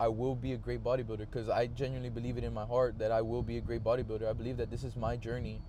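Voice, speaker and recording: Very fast speech from a man with audible room echo. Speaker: vlogger. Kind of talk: casual monologue. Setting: in a car. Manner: halting, many filler words and pauses.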